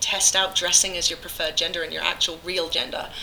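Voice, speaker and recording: Over noticeable background noise, a woman speaks at a very fast pace in an English accent. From England. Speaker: musician. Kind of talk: casual chat. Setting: convention. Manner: nervous.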